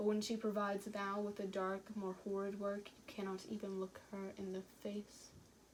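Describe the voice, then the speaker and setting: A woman talks at a moderate pace with hardly any pauses, in a monotone, flat intonation. Her loudness swings widely, and background noise is noticeable. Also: medium pitch for a woman. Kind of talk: poetry reading.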